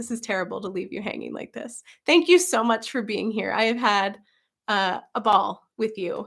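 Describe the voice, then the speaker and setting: In a put-on character voice, a woman sounds raspy and hoarse, her fairly high pitch carrying lively intonation and big swings in loudness at a moderate pace, on a very clean recording with a silent background. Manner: warm, friendly.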